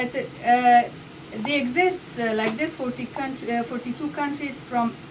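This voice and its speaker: Against noticeable background noise, a woman with a non-native accent speaks at a high pitch. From Afghanistan. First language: not English. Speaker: speaker at a public talk. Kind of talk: speech. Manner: halting; reading from paper.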